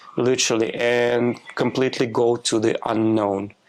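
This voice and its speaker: Delivered in a flat monotone, a man's speech moves at a fairly slow pace. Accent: Russian. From Russia. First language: Russian. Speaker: spiritual healer, former clinical trials worker. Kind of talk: podcast interview.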